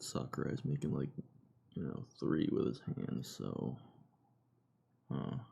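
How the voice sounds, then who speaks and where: A quiet man at a fairly slow pace. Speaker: gaming streamer. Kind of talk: live stream reaction. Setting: home live stream, no webcam.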